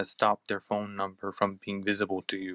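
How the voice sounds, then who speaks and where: A man speaks with an American accent. The recording is very clean with a silent background and a dry, close sound with no echo. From United States. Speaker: podcast host. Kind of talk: casual chat.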